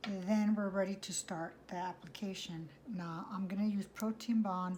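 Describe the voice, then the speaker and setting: With a slightly breathy, mid-range voice, a woman speaks at a middle speed and keeps her intonation fairly level. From US (born Mexico, raised in US from infancy). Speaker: nail technician vlogger. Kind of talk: tutorial. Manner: hesitant, many fillers.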